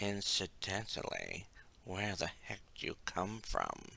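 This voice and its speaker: A man's put-on character voice, raspy and fairly low-pitched, at a fairly slow pace. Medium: read story. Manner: casual, offhand.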